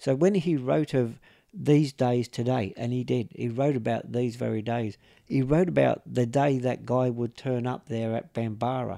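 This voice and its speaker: A man with an Australian accent speaks at a moderate pace in a medium pitch, with ordinary pitch variation and a dark, mellow tone. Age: 60s. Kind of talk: interview storytelling. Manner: halting, many fillers.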